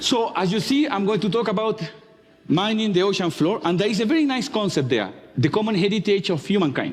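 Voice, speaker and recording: Noticeable background noise sits under a man's high-pitched voice with a strong Chilean accent and lively intonation. He speaks at a fairly quick pace with very even loudness. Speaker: marine geologist. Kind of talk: talk to an audience.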